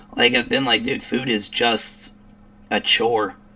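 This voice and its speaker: A man talks with a Chicago accent. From US Midwest, Chicago area. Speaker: commentary streamer. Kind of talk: reaction commentary. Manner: animated.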